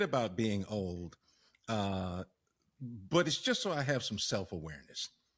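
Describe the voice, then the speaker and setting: A man's voice with very wide pitch swings, in a very clean recording with a silent background. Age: 60s. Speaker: podcast co-host. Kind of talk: casual chat.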